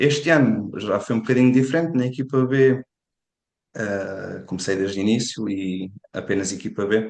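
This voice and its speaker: The speaker has a European Portuguese accent, ordinary pitch variation and a moderate pace. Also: man, medium pitch for a man. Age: 20s. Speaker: football analyst. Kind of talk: podcast interview.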